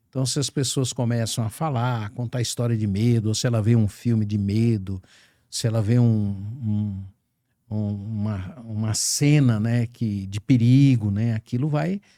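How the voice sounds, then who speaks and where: This man's voice sits at a medium pitch with a dark, mellow tone and fairly even intonation. He talks at a fairly slow pace on a very clean recording with a silent background. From Brazil, small coastal town. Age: 70s. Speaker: podcast host. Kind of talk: podcast conversation. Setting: studio. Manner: halting, many fillers.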